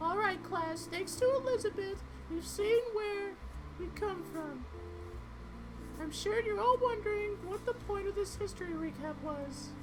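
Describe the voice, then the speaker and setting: A woman uses a squeaky, put-on character voice at an extremely high pitch and a moderate pace. Long, frequent pauses break her speech amid loud background noise. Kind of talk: teacher lecturing. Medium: solo performance. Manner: stern, authoritative.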